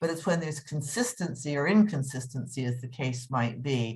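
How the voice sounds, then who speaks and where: Somewhat breathy and very deep in pitch, a woman with a Canadian accent speaks at a moderate pace with ordinary pitch variation. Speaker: customer service expert and speaker. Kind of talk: podcast interview.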